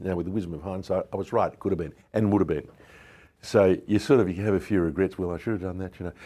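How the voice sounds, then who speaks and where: An Australian accent marks this man's very fast speech, delivered at a very deep, low pitch in a dark, mellow tone with fairly even intonation over a quiet background. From Melbourne, Australia. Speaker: businessman. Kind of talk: interview. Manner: hesitant, many fillers.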